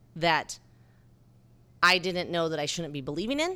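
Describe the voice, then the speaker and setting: A woman speaks with a bright, sharp tone and a fairly low pitch, in an American accent. The recording is very clean, with a silent background. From southern Utah (St. George). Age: 40s. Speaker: bar co-owner and filmmaker. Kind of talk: casual interview.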